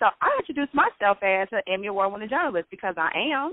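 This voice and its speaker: A woman's medium-pitched voice at a very fast pace. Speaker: web series host and former TV news producer. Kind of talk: interview. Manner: animated.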